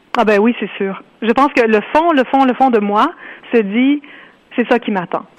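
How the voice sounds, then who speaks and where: Her fairly high voice moves with ordinary pitch variation. The woman talks at a fairly slow pace, leaving long, frequent pauses. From Ontario, Canada. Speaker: author. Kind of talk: interview.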